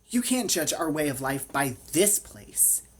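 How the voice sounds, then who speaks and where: Putting on a character voice, a man speaks at a fairly high pitch and a fairly slow pace. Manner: irritated, snappish.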